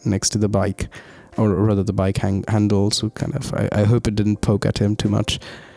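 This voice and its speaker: Soft-spoken and fairly low-pitched, a man talks at a moderate pace in a monotone, flat intonation with music in the background. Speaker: student vlogger. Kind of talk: voiceover narration. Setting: recording at midnight in student room.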